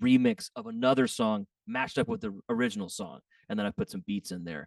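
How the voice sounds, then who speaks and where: Recorded dry and close with no echo against a quiet background, a man with an unremarkable speaking voice talks at a medium pitch with ordinary pitch variation. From Texas. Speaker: DJ and music producer. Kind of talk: casual chat.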